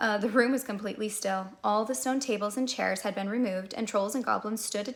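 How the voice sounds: The pitch varies in an ordinary way. It is a natural reading voice.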